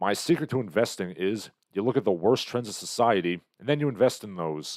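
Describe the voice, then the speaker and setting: An ordinary speaking voice from a man, fairly low and fairly quick, with lively intonation on a very clean recording with a silent background. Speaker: livestream host. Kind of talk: casual livestream chat.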